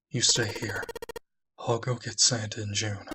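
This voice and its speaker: Putting on a character voice, a man speaks at a moderate pace. His medium-pitched delivery stays flat and monotone. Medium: read story.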